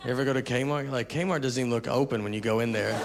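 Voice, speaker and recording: A man with an American accent talks at a very fast pace, medium in pitch, with fairly even intonation. Noticeable background noise is present. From Tennessee, USA. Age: 30s. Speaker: stand-up comedian. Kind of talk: stand-up comedy routine.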